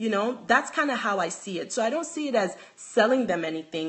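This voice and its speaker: A Nigerian accent at a moderate pace, with very wide pitch swings. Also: woman. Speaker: handbag designer. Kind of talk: live stream chat. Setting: live video stream from home.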